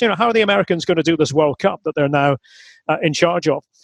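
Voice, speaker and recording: This man has a fairly high pitch and a Scottish accent, with ordinary pitch variation. The sound is dry and close, with no echo. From Aberdeen, Scotland. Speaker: football commentator. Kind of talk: interview answer.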